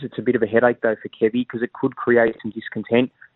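Here is a man with an Australian accent. His intonation stays fairly even. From Sydney, Australia. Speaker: sports journalist. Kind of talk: radio interview.

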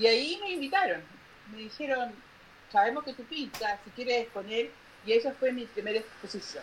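Over noticeable background noise, a woman with a high voice speaks at a moderate pace with lively intonation, big swings in loudness, and long, frequent pauses. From northern Chile. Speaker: painter. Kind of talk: interview.

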